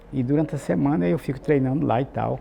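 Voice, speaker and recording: A man's dark, mellow voice moves along at a moderate pace. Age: 80s+. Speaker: anesthesiologist. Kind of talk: interview.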